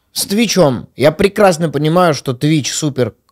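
Lively intonation marks a man's moderate-paced speech, heard against a quiet background. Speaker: podcast host. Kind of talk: casual chat. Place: studio. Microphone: studio mic.

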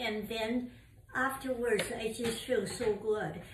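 A woman's high voice at a very slow pace, with noticeable background noise. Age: 80s+. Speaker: mother of the channel owner. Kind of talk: casual chat. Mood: warm, enthusiastic. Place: home room. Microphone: camera far.

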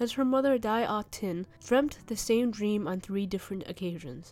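With a dark, mellow tone, a woman speaks at a moderate pace and ordinary pitch variation. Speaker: channel narrator. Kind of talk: storytelling narration.

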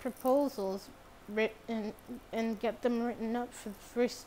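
With fairly even intonation, this is an unforced reading voice.

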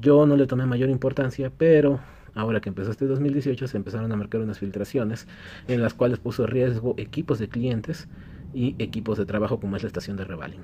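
A man's somewhat breathy, dark and mellow voice at a fairly quick pace, with ordinary pitch variation and light background noise. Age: 30s. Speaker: electronics repair technician, YouTuber; YouTuber. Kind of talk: casual Q&A vlog. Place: workshop.

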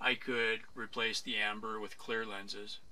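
Light background noise sits under this recording. A man speaks with a fairly low pitch. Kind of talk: casual vlog chat. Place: bus.

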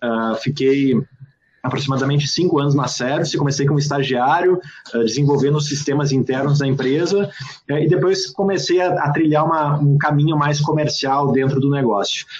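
A man's fairly high voice at a moderate pace, with fairly even intonation, very even loudness and a quiet background. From southern Brazil, Serra Gaúcha (Rio Grande do Sul). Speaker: entrepreneur and author. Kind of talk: interview. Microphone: earbuds.

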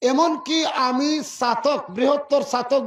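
The speaker is a man. His pitch is extremely high. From Sylhet region, Bangladesh (Chhatak, Sunamganj). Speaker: politician. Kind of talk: political rally speech. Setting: outdoor election rally at a market. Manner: loud, emphatic oratory.

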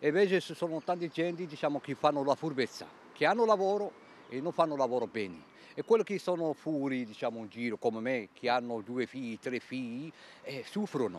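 A man talks at a fairly quick pace with very wide pitch swings, his voice dry with no echo over light background noise. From Algeria. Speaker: unemployed job seeker. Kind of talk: street interview. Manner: broken Italian, emotional. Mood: aggrieved, insistent. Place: street. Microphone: handheld.

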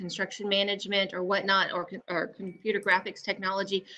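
A woman speaks at a moderate pace in a bright, sharp tone. Light background noise can be heard. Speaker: panelist. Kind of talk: interview answer. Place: home room. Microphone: video call.

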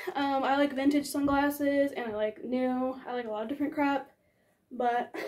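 In an American accent, a woman speaks at a high pitch and moderate pace with fairly even intonation over a quiet background. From New York City. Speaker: fashion and skate YouTuber; skate YouTuber. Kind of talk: casual vlog haul. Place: home room. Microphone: camera far.

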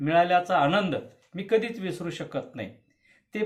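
High pitch from a man. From Karnataka border region, Bidar district (Marathi-speaking village). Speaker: poet and literary activist. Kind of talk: prepared video statement.

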